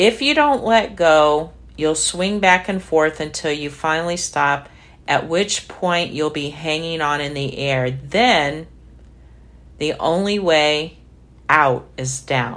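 Speaking at a very slow pace, a woman has a very deep, low pitch. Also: ordinary pitch variation. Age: 60s. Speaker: devotional podcast host. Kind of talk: casual testimony; reading aloud.

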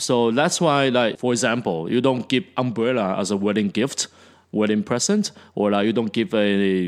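A man speaks at a moderate pace in a normal speaking voice, with medium pitch and ordinary pitch variation. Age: 40s. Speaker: teacher and podcast co-host. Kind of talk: casual chat.

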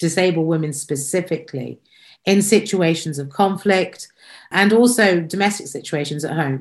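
A woman with a British accent speaks at a fairly low pitch and a moderate pace. Her pitch variation is ordinary, and the background is quiet. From Britain. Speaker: podcast host. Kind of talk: interview.

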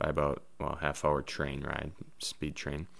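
A man with an Upper Midwest accent, on a very clean recording against a silent background. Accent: Upper Midwest American. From Wisconsin (Neenah). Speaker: podcast producer and musician. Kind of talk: casual self-introduction. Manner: halting, many fillers.

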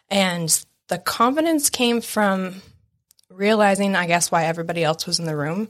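An unremarkable speaking voice belongs to this woman. She keeps a moderate pace. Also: medium pitch for a woman, lively intonation. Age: 30s. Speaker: real estate business owner and Coast Guard veteran. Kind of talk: casual chat. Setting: studio.

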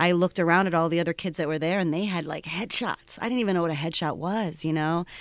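A woman speaks at a very fast pace with hardly any pauses. Her pitch is fairly low and her intonation fairly even. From Cleveland, Ohio. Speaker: theater co-founder and director. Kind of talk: casual interview.

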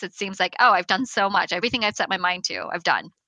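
A woman with a medium pitch speaks at a very fast pace. The sound is dry and close, with no echo. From grew up in St. Louis, US, from age six; born in China. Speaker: entrepreneur, company founder. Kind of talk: interview.

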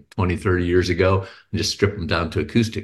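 With an American accent, a man talks at a fairly quick pace in a very deep, low pitch that is somewhat breathy. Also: quiet background. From Texas (Houston). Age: 50s. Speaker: writer and musician, cancer patient advocate. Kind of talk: interview conversation. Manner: hesitant, many fillers.

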